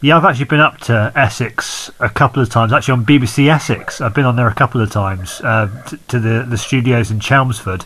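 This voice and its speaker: A man speaks in a plain, everyday voice at a medium pitch with ordinary pitch variation. He goes at a fairly quick pace with hardly any pauses. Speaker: podcast host. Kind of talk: casual interview chat.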